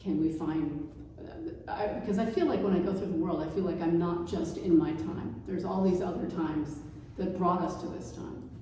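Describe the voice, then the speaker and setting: Noticeable background noise and audible room echo surround a moderate pace and fairly even intonation. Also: woman. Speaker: painter. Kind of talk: artist talk conversation.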